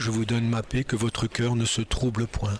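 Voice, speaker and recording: Background noise is noticeable as a man speaks at a medium pitch. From northern France (Nord). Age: 60s. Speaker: churchgoer giving testimony. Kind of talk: testimony. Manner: halting, many hesitations.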